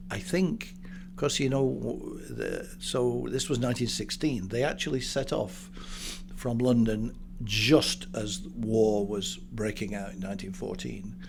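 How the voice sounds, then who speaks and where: With a northern English accent and some vocal fry, a man of medium pitch talks at a fairly slow pace, his pitch swinging very widely amid audible room echo. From northern England. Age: 70s. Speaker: business broker. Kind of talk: interview. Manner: halting.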